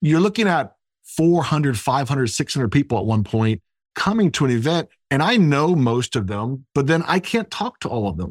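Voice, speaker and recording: At a moderate pace, a man with an American accent speaks fairly high with very wide pitch swings, in a very clean recording with a silent background. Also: dry, close sound with no echo. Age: 40s. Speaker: entrepreneur and real estate developer. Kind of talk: casual interview chat.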